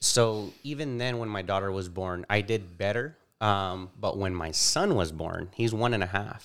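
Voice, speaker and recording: A man with an American accent, an ordinary speaking voice, fairly low pitch, ordinary pitch variation and a moderate pace, on a very clean recording with a silent background. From California, Bakersfield. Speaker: insurance and annuity agent. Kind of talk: interview.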